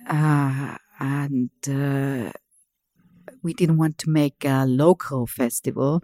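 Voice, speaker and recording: Speech in an Austrian accent comes very slowly, with long, frequent pauses and a dark, mellow tone. Intonation stays fairly even, and the sound is dry and close with no echo. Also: woman, very deep, low pitch for a woman. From Vienna, Austria. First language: German. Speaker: museum director. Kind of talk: interview.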